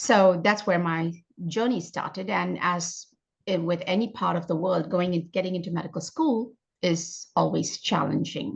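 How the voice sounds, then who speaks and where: Her pitch fairly low with ordinary variation, a woman speaks at a moderate pace with vocal fry. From India. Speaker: functional medicine doctor. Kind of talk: interview.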